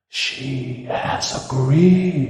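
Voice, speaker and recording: A put-on character voice in a low-to-middle pitch rings out with strong echo. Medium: read story. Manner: gentle, old-fashioned courtly phrasing.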